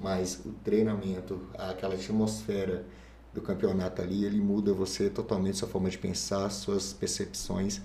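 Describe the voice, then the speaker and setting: With noticeable vocal fry, a man talks in a very deep, low voice. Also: ordinary pitch variation, moderate pace. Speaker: fitness coach. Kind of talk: casual chat.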